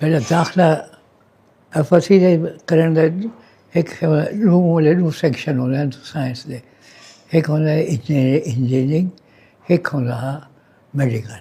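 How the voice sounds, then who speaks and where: A man's fairly high pitch with a dark, mellow tone and ordinary pitch variation. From Dera Ghazi Khan, Punjab, Pakistan. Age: 80s+. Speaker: retired doctor. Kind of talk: interview answer.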